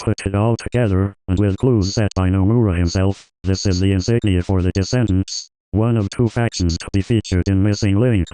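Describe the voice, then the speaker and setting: In a put-on character voice, a man talks at a fairly quick pace and a fairly low pitch, with hardly any pauses, against a quiet background. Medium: solo performance. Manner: flat, monotone, mechanical.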